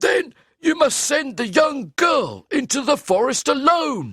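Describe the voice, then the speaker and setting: In a put-on character voice, the speaker goes at a fairly slow pace with a high pitch. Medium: read story. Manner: calm, measured.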